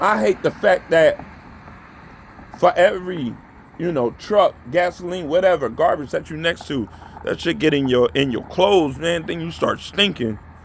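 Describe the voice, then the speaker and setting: A man with a high-pitched voice and lively intonation speaks at a moderate pace. Noticeable background noise can be heard. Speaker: vlogger. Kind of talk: motivational monologue. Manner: animated.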